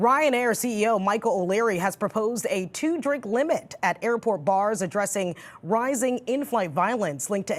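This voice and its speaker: Lively intonation marks an unremarkable speaking voice at a moderate pace. The recording is very clean, with a silent background. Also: woman. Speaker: news anchor and reporter. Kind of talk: TV news read.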